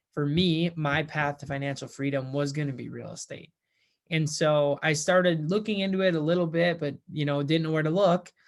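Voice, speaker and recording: An ordinary speaking voice from a man with an American accent, fairly high pitch and fairly even intonation, at a moderate pace on a very clean recording with a silent background. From US Midwest, central Minnesota. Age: 20s. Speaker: first-time real estate investor. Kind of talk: personal testimonial vlog. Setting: at home. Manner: casual with fillers and repetitions.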